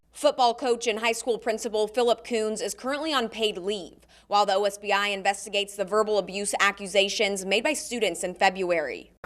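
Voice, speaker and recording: An ordinary speaking voice from a woman, fairly high in pitch, at a fairly quick pace with hardly any pauses and ordinary pitch variation. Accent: American. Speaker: TV news reporter and anchor. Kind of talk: studio anchor news read.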